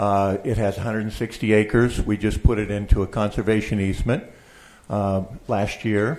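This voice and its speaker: A man's plain, everyday voice with an American accent, fairly low in pitch, fairly even in intonation, at a moderate pace, on a very clean recording with a silent background. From Oregon. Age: 60s. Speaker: public commenter, land trust president. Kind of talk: public testimony. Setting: public board meeting.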